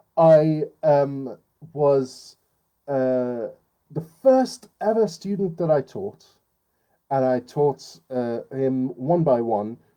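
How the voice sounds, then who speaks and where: With long, frequent pauses, a man speaks very slowly in a fairly high pitch, his dark, mellow tone showing ordinary pitch variation. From Iran. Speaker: writing teacher. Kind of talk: lecture. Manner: halting with fillers.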